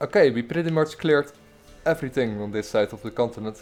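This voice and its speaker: A man with a strong Dutch accent, at a moderate pace and with ordinary pitch variation. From Netherlands. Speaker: gaming streamer. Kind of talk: gameplay livestream commentary. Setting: livestream. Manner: halting, many fillers and repeats.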